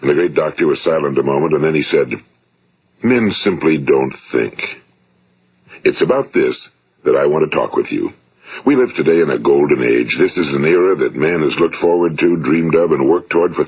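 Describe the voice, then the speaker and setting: With a fairly quick pace but long, frequent pauses, a man speaks in an American accent at a very even loudness. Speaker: motivational speaker and broadcaster. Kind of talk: motivational speech. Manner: compelling, thought-provoking.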